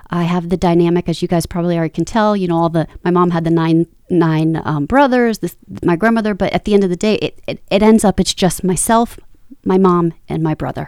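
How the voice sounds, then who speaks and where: A woman's fairly low-pitched voice, a normal speaking voice, at a fairly quick pace. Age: 40s. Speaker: podcast co-host, motivational speaker and life coach. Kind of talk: casual chat.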